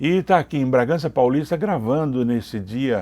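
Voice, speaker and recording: Medium-pitched male speech, dark and mellow in tone, with lively intonation at a fairly slow pace, on a very clean recording with a silent background. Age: 60s. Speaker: interviewer. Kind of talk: interview.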